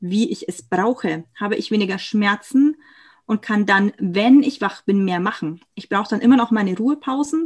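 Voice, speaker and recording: Against a quiet background, a woman with a somewhat breathy voice and fairly high pitch talks at a moderate pace with ordinary pitch variation. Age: 20s. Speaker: chronic illness patient and aspiring coach. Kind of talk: personal testimony in interview.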